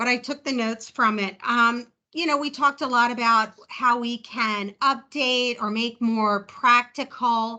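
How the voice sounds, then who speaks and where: A woman with a New Jersey accent speaks with a high pitch and a bright, sharp tone. Her intonation is fairly even, and the background is quiet. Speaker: chair of a government advisory group. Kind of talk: virtual meeting discussion. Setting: video call. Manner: casual, chatty.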